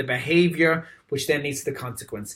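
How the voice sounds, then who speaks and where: A man speaks in an Irish accent. His pitch is fairly high and his pace fairly quick. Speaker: dietitian. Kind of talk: presentation. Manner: animated.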